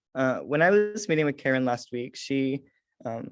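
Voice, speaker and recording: In an ordinary speaking voice and an American accent, a man talks at medium pitch and a moderate pace against a quiet background. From US Midwest, rural Missouri. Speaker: student leader. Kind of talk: presentation.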